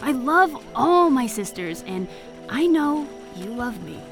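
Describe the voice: A woman does a put-on character voice at fairly high pitch with big pitch swings. She goes at a slow pace while faint music plays in the background.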